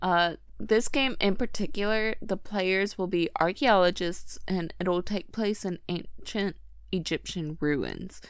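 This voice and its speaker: This is a woman with an ordinary speaking voice at medium pitch. She talks at a moderate pace in a very clean recording with a silent background. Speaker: podcast host, reads anime news. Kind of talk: casual chat. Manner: playful, laughs often.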